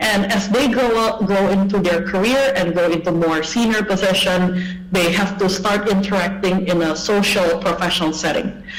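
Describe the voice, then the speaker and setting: With an Indonesian accent, the speaker keeps a moderate pace with hardly any pauses, and noticeable background noise is present. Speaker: English language education speaker. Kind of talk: conference talk. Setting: online video presentation. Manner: hesitant, with fillers.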